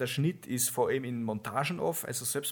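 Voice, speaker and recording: A man talks at a moderate pace with ordinary pitch variation and a plain, everyday voice. The recording is very clean, with a silent background. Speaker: podcast co-host. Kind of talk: casual chat.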